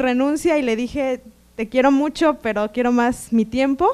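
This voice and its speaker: Her pitch is high. The voice belongs to a woman. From Mexico, Toluca; Mexico. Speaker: seminar graduate. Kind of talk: testimony. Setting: seminar room with audience. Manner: halting, many fillers and repetitions. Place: hall. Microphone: handheld.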